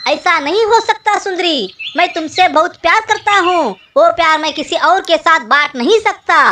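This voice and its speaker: At a moderate pace, someone talks in a cartoonish character voice pitched extremely high. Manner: pleading, distressed.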